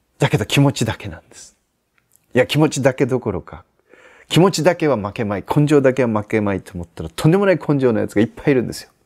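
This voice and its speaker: Talking at a very fast pace, a man shows very wide pitch swings and big swings in loudness. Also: quiet background. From Aichi, Japan. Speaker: Zen Buddhist priest giving life advice. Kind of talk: advice answer to viewer letter, sermon-like talk. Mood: calm, gentle, reflective. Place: garden. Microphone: lapel.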